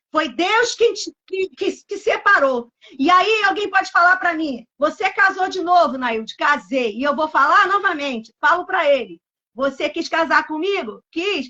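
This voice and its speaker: A woman with an extremely high pitch talks fairly slowly, her intonation lively. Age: 60s. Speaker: pastor. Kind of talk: sermon. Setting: live stream.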